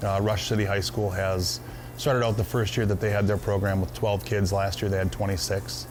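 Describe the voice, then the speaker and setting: With an American accent, a man speaks in a normal speaking voice at a fairly low pitch. His intonation is lively and his loudness very even. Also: fairly quick pace. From Minnesota. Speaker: hunting club owner. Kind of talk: interview. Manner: casual, with frequent fillers.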